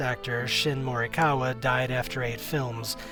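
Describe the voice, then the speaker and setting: Music plays in the background as a man speaks at medium pitch with fairly even intonation. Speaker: YouTube documentary maker. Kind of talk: documentary narration.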